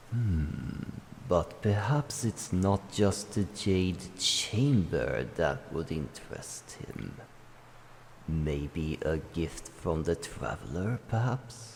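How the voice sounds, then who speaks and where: A man uses a put-on character voice at a fairly low pitch. He speaks at a very slow pace over clear background noise. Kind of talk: ASMR roleplay. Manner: commanding, stern.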